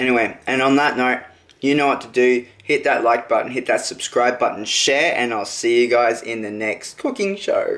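A man speaks at a moderate pace, his medium pitch showing ordinary variation. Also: fairly bright tone.

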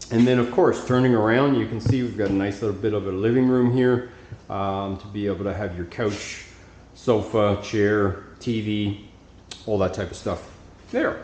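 Man at a fairly slow pace with ordinary pitch variation, audible room echo and light background noise. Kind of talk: property tour narration. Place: home room. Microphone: phone near.

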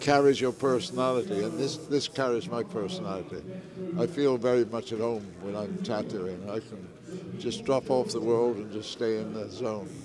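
Noticeable background noise accompanies a man speaking at a medium pitch and moderate pace with lively intonation, in a dry sound with no echo. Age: 80s+. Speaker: tattoo artist. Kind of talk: interview answer. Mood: calm, reflective. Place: hall. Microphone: lapel.

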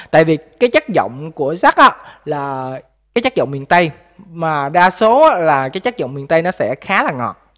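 Fairly high-pitched male voice with lively intonation, a moderate pace and a quiet background. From Mekong Delta, Vinh Long; Mekong Delta, Vietnam. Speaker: vlogger, factory worker; vlogger commenting on a music video. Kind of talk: music video review vlog. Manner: hesitant, many fillers. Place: home room. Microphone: studio mic.

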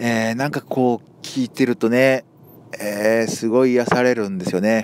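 Dry and close with no echo, a man speaks in a monotone, flat intonation over noticeable background noise. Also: medium pitch for a man, moderate pace. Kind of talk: casual talk to camera. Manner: casual, chatty.

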